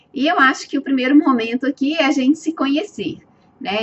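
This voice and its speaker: A woman is speaking. She has a strong Minas Gerais accent. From Minas Gerais, Brazil. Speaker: webinar presenter and educator. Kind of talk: live webinar presentation. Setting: online webinar. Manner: hesitant, many filler sounds.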